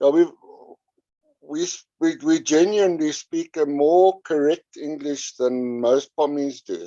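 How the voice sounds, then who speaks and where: A man with a South African accent talks at a fairly slow pace in a fairly high pitch. His pitch variation is ordinary, and the sound is dry and close with no echo. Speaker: podcast guest. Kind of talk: casual chat. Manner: halting.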